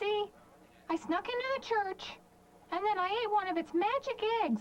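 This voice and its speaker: A woman uses a put-on character voice that is squeaky and extremely high in pitch. She keeps a moderate pace. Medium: audio drama. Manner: rambling, earnest.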